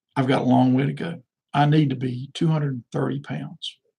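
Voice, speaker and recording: Speaking at a moderate pace, a man uses a fairly high pitch, somewhat breathy delivery and fairly even intonation. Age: 60s. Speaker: political candidate. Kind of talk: live stream monologue. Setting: live video stream. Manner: halting, repetitive fillers.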